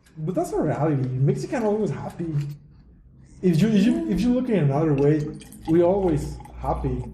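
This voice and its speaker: A man speaks at a moderate pace with long, frequent pauses. Room echo is audible, and background noise is noticeable. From Mexico. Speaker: podcast host. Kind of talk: casual chat.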